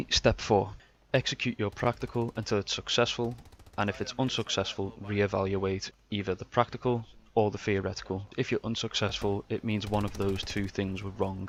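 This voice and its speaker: With a strong Scouse accent, a man speaks at a moderate pace in a fairly low, monotone voice with flat intonation. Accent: Scouse, strong enough that some struggle. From Liverpool, England. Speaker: gaming tutorial youtuber. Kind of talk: tutorial voiceover. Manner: instructive, measured.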